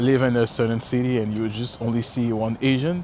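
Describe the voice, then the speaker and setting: Over noticeable background noise, a man with a Quebec accent speaks at medium pitch and a moderate pace. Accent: French Canadian accent in English. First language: French. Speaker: travel vlogger. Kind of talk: casual walk-and-talk vlog. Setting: outdoors walking by a river. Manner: halting, many fillers and self-corrections.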